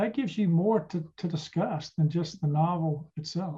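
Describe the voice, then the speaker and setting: The voice has a dark, mellow tone with an American accent. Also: man. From US South, Charlotte, North Carolina. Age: 60s. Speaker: retired trial lawyer, author and podcaster. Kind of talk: casual interview.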